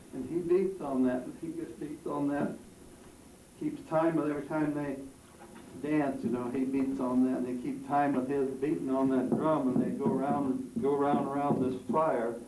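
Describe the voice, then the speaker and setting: A man with an American accent talks at a moderate pace, his fairly high pitch carrying ordinary variation. Audible room echo and noticeable background noise fill the recording. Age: 80s+. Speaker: elderly local resident. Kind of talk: interview with schoolchildren. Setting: classroom. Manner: halting.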